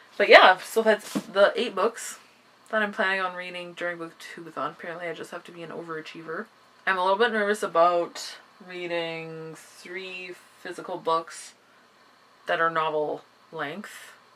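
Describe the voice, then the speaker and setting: A woman's fairly low voice at a moderate pace, with fairly even intonation and big swings in loudness. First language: not English. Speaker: booktuber. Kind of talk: casual vlog chat. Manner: casual, with fillers and self-corrections.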